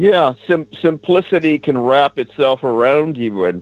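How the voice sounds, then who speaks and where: A man's unremarkable speaking voice at a fairly slow pace. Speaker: talk show panelist. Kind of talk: casual talk radio discussion.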